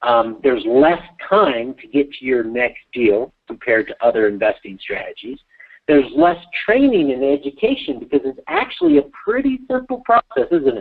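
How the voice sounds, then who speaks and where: A man's loudness swings widely as he talks at a moderate pace. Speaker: real estate investing coach. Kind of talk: webinar teaching call.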